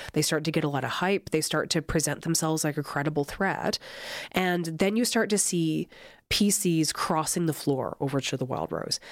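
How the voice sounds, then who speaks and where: On a very clean recording with a silent background, a woman with an Albertan accent speaks at a moderate pace in a very deep, low pitch with very even loudness. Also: ordinary pitch variation. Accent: Canadian (Alberta). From southern Alberta, Canada. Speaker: political science professor. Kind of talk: interview.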